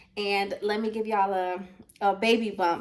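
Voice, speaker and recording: A woman with an American accent talks at a moderate pace and medium pitch. The recording carries audible room echo and noticeable background noise. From Baltimore, Maryland, US. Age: 20s. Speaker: family vlogger. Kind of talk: casual vlog talk to camera. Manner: animated.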